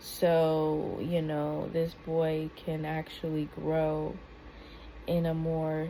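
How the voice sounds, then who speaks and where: Soft-spoken and in a flat monotone, a woman speaks with a very deep, low pitch and a dark, mellow tone in a room with audible echo. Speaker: YouTube commentator. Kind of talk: reaction video commentary. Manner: halting.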